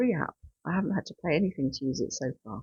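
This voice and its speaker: Lively intonation and vocal fry mark this woman's voice. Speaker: frugal living vlogger. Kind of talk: casual budget review talk to camera.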